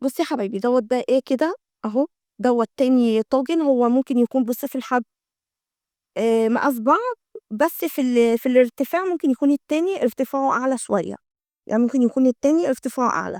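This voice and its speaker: Speaking with an Egyptian accent, a woman with a high-pitched voice uses ordinary pitch variation, recorded with a dry, close sound and no echo. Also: fairly quick pace. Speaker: homemaking vlogger. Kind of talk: product show-and-tell vlog. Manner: chatty, repetitive fillers.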